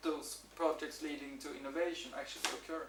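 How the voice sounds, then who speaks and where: A man with a Swedish accent talks at a fairly quick pace in a high voice with ordinary pitch variation, amid noticeable background noise and audible room echo. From Sweden. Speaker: university researcher. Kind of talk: conference presentation. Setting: workshop with audience. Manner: halting, many repetitions and fillers.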